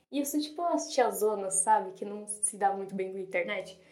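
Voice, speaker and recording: Against audible room echo, a woman talks at a medium pitch with ordinary pitch variation. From São Paulo, Brazil. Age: 20s. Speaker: literature student and podcaster. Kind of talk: casual monologue.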